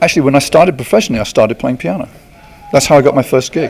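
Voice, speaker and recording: With noticeable background noise, a man with an English accent talks at a fairly high pitch, leaving long, frequent pauses. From England, countryside near Luton. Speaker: smooth jazz guitarist. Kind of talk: interview. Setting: outdoor amphitheater at a concert.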